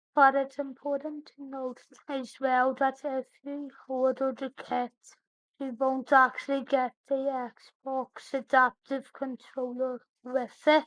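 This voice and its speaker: In a Northern Irish accent, a woman speaks at a very slow pace with high pitch and monotone, flat intonation, her loudness swinging widely in a dry, close sound with no echo. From Northern Ireland. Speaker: tech podcast host. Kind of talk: scripted podcast narration.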